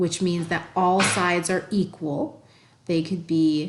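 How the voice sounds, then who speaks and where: Here a woman has an unremarkable speaking voice with a fairly low pitch. She speaks at a fairly slow pace. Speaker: math teacher. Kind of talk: tutorial.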